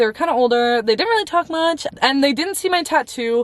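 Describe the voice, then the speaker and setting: With noticeable background noise, a woman speaks fairly quickly in an animated tone with very wide pitch swings. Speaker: faith vlogger. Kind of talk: casual story time vlog. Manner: fast.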